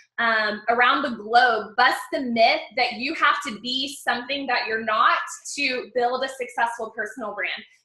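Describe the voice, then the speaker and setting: A woman with a high pitch speaks at a fairly slow pace, her pitch varying in an ordinary way. Room echo can be heard. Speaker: success coach and personal branding mentor. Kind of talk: live webinar training. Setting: online webinar. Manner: animated.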